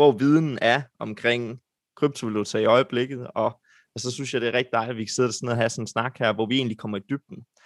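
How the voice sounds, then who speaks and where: A man with a normal speaking voice talks at medium pitch and a moderate pace, his intonation fairly even, in a dry, close sound with no echo. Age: 20s. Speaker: podcast host. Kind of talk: podcast hosting. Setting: video call.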